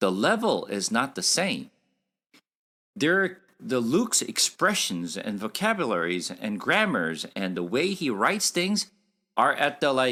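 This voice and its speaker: A fairly high-pitched man's voice with a non-native accent, vocal fry, very wide pitch swings and a fairly slow pace, in a very clean recording with a silent background. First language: Korean. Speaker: Bible teacher. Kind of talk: Bible study lecture. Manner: halting, with fillers.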